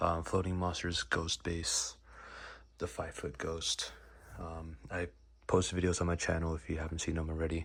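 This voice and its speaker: Whispering at a moderate pace, with vocal fry, long, frequent pauses, and a very clean recording with a silent background. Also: man. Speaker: hobbyist YouTuber. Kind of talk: casual vlog tutorial. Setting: at home, late night. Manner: hesitant, many fillers.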